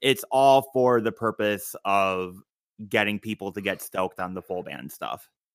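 Recorded very cleanly with a dry, close sound, no echo and a silent background, a man speaks in a plain, everyday voice at fairly low pitch and a fairly slow pace with ordinary pitch variation. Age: 20s. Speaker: musician. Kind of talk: casual interview chat.

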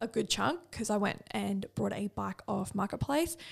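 A woman with an Australian accent. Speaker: podcast co-host and bikini competitor. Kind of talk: casual chat.

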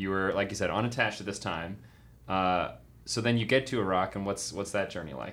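Speaking at a fairly quick pace with an American accent, a man has a normal speaking voice, fairly low in pitch with ordinary pitch variation. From New York. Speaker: podcast co-host, former teacher. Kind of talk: casual chat. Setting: studio.

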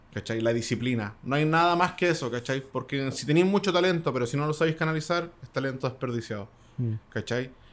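A man with a Chilean accent talks fairly quickly at a fairly high pitch, with ordinary pitch variation. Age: 30s. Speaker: beatmaker and DJ. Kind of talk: casual interview.

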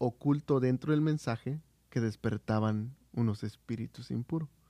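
The recording is dry and close, with no echo. A man talks at a fairly slow pace in a medium pitch with ordinary pitch variation. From Oaxaca, Mexico. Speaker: church volunteer on radio ministry. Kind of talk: casual chat.

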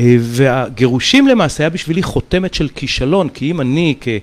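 A man with a normal speaking voice talks at a fairly slow pace and fairly high pitch with lively intonation. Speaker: mentalist. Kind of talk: casual chat.

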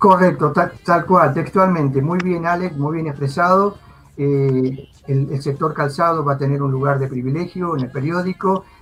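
This man has an ordinary speaking voice, pitched fairly high, delivered at a moderate pace with fairly even intonation. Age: 50s. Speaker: virtual trade fair organizer. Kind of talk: live video interview.

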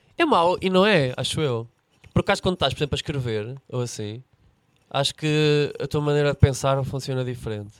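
A man with a European Portuguese accent and a fairly high pitch talks at a fairly quick pace, his sound dry and close with no echo. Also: ordinary pitch variation. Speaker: comedian. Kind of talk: casual chat.

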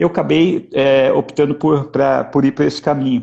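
Vocal fry and a dark, mellow tone from a man at medium pitch, at a fairly quick pace. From interior of São Paulo state, Brazil. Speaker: agronomist, agribusiness executive. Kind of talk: interview. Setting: online live stream.

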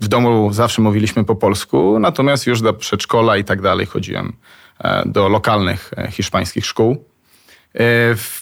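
This man has a plain, everyday voice. It sits at a medium pitch with fairly even intonation. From Spain, Argentina, Colombia (diplomat's child). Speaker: travel agency founder. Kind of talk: interview. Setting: studio.

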